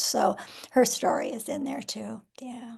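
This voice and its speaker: Lively intonation marks this moderate-paced speech in an American accent. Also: woman. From US Midwest, Nebraska. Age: 70s. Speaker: author. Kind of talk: interview. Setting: live video stream.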